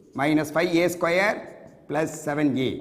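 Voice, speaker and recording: A man speaks very slowly at a fairly high pitch, with audible room echo. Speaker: mathematics lecturer. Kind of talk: lecture.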